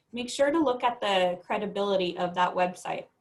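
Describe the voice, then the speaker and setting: Ordinary pitch variation runs through a woman's medium-pitched voice. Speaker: school counselor. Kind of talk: informational presentation. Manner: fast.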